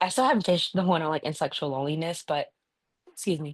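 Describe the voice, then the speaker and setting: A woman speaks at a very fast pace in a very deep, low voice. Her pitch varies in an ordinary way. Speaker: video blogger. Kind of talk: casual monologue to camera. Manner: halting, with repeated words.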